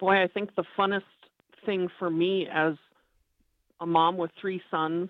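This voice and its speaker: Her intonation is monotone and flat, in a Minnesota accent. This woman speaks at a moderate pace with a fairly low pitch. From Minneapolis, Minnesota. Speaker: mother and angler. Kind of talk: casual interview.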